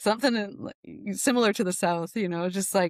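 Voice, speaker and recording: In a very clean recording with a silent background and a dry, close sound with no echo, a woman uses an ordinary speaking voice at medium pitch with ordinary pitch variation. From Newfoundland, Canada. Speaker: nervous system specialist. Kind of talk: podcast interview. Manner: casual, many fillers.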